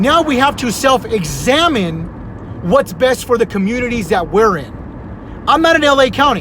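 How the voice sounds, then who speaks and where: A man shouts loudly in an animated tone at a moderate pace, his extremely high pitch making very wide swings. Noticeable background noise runs behind him. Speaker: community vlogger. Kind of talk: casual monologue. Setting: Facebook live video. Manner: loud, sounds like yelling.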